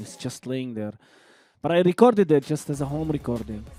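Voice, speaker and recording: With music in the background, a man with a non-native accent and fairly high pitch talks at a moderate pace with ordinary pitch variation. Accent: noticeable non-native accent in English. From Lydda, Palestine. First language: Arabic. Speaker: rapper. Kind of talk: interview conversation. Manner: halting, many repetitions.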